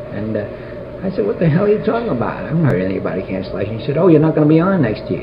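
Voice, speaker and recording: A man at a fairly high pitch with very wide pitch swings, a very fast pace and hardly any pauses, over noticeable background noise. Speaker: publisher and game show panelist. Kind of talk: oral history interview answer. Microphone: old recording.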